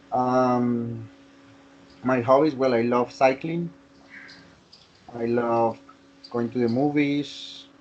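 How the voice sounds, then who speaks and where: Amid noticeable background noise, a man at a medium pitch speaks with fairly even intonation and long, frequent pauses. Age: 30s. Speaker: English class participant. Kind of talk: casual chat. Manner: halting.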